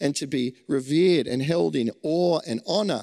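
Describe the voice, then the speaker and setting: In an Australian accent, a man speaks with lively intonation on a very clean recording with a silent background. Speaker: preacher. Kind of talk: sermon.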